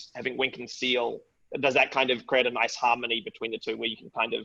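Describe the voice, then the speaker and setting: This man's voice sits at a medium pitch. It has a bright, sharp tone. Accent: New Zealand. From New Zealand. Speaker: webinar host. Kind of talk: interview.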